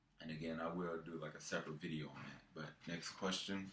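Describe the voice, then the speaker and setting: Audible room echo surrounds a man whose very deep, low voice moves at a fairly quick pace with fairly even intonation. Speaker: fitness vlogger. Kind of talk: casual vlog monologue. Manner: halting, many fillers.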